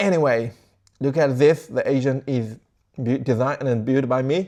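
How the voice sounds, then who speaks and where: Fairly even in intonation, a man speaks at medium pitch with a dark, mellow tone. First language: not English. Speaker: tech tutorial creator. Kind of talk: tutorial. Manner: casual, halting.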